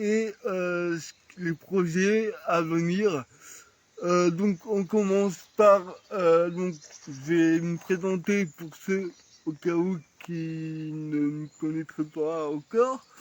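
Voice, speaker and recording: Fairly even intonation marks this very slow delivery. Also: man, high pitch for a man. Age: 30s. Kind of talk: casual chat. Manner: hesitant.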